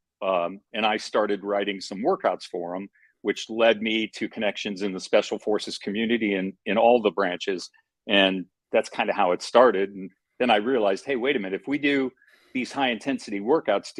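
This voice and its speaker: A man with an unremarkable speaking voice talks at a fairly quick pace and fairly low pitch with ordinary pitch variation, in a dry, close sound with no echo. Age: 60s. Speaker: fitness franchise founder. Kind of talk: interview. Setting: call.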